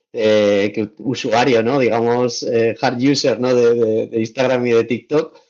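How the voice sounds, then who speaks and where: Speaking fairly slowly with hardly any pauses, a man keeps a medium pitch, very even loudness and a flat, monotone delivery. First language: Valencian (speaking Spanish). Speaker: travel content creator. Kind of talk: podcast interview. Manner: hesitant, many repetitions.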